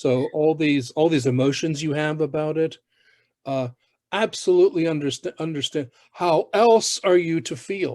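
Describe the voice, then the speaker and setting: An ordinary speaking voice moves at a moderate pace with ordinary pitch variation, the sound dry and close with no echo. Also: man, fairly high pitch for a man. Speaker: host. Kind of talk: conversational commentary. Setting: video call.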